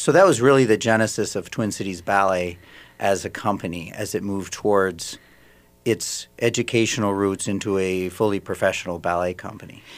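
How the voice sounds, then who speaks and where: A man with an American accent, fairly low in pitch, at a fairly quick pace with fairly even intonation. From Minnesota, Saint Paul. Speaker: ballet company director, former dancer. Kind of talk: radio interview. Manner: halting.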